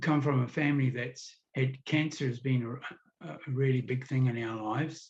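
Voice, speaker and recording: With a New Zealand accent, a man talks at a moderate pace and a medium pitch. His voice is somewhat breathy, with fairly even intonation. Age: 70s. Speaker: kidney disease patient. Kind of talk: interview testimony. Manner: halting.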